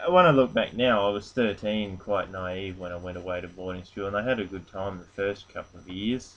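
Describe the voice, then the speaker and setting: Moderately paced speech from a man with an Australian accent. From Australia, rural North Queensland. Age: 20s. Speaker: online business vlogger. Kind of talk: casual vlog monologue. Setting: at home on a couch. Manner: hesitant, many fillers.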